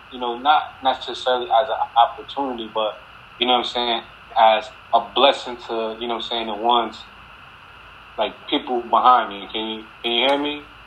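A man with an American accent talks at a moderate pace and medium pitch in a flat monotone, with big swings in loudness. Long, frequent pauses break up his speech over noticeable background noise. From New Jersey, Paterson. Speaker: former NFL football player. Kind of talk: casual interview. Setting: video call. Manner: casual, filler-heavy.

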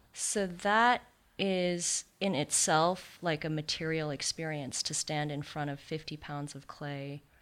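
With an American accent, a woman speaks fairly slowly at a very deep, low pitch with ordinary pitch variation, on a very clean recording with a silent background. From Santa Monica, California. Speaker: sculptor. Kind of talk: interview conversation. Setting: studio.

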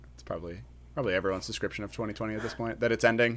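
A man speaks at a fairly low pitch with vocal fry, recorded very cleanly against a silent background. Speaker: podcast host. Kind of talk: casual chat, Q&A.

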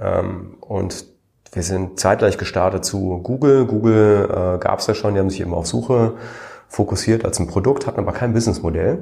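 This man has a dark, mellow tone and a somewhat breathy voice, with ordinary pitch variation and a moderate pace. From Germany. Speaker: serial founder and investor. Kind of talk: interview.

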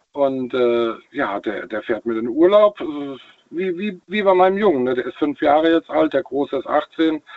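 Using an unremarkable speaking voice, a man talks at a moderate pace with fairly high pitch and lively intonation. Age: 40s. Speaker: caller, truck driver. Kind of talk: phone-in call. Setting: phone call.

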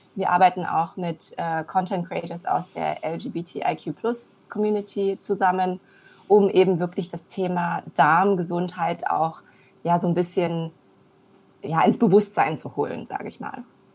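In an ordinary speaking voice, a woman talks fairly slowly at a fairly low pitch, her intonation fairly even but her loudness swinging widely. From Germany, born in China. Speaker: entrepreneur, serial founder. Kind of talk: interview. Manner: many filler sounds.

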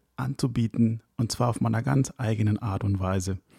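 At a moderate pace, a man speaks at medium pitch in a somewhat breathy voice with ordinary pitch variation, the sound dry and close with no echo. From Ecuador, then Hamburg from school age. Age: 30s. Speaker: wedding DJ and podcast host. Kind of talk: scripted solo podcast intro.

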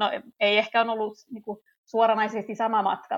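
A woman's fairly high-pitched voice. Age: 30s. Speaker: teacher and chair of an infertility support association. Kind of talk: interview. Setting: remote recording.

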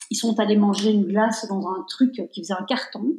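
Somewhat breathy, a woman speaks in a fairly high pitch with ordinary pitch variation. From Belgium. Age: 50s. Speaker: entrepreneur. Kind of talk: interview. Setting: remote recording.

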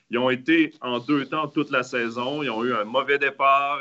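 At a moderate pace, a man speaks in a plain, everyday voice with a fairly high pitch. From Quebec. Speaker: ice hockey analyst. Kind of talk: casual panel discussion.

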